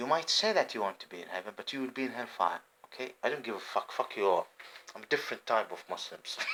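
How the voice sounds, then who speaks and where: Very fast speech in an Arabic accent, with very wide pitch swings, big shifts in loudness and noticeable background noise. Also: man, medium pitch for a man. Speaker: homeless vlogger. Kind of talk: rambling monologue vlog. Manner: halting.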